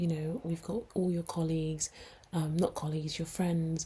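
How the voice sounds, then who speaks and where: A woman speaks in a London accent with a dark, mellow tone. Her voice is somewhat breathy, and her intonation stays monotone and flat. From London, England. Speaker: podcast co-host, nurse. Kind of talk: casual chat.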